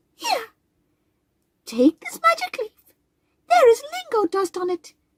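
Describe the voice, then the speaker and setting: This put-on character voice is squeaky and extremely high in pitch, moving at a fairly slow pace. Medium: read story. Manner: giggly, playful.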